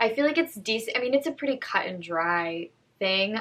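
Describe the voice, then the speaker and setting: A woman talking at a fairly quick pace, lively intonation, and noticeable background noise behind her. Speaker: actress and vlogger. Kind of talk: casual vlog commentary. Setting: at home. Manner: bubbly.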